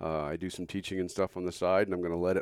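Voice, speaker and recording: A very deep, low male voice, dry and close with no echo, on a very clean recording with a silent background. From southern New Mexico. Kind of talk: casual interview chat.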